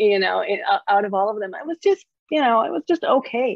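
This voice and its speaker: A woman with an Israeli accent speaks at medium pitch in a dry, close sound with no echo. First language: Hebrew. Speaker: author. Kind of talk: panel conversation.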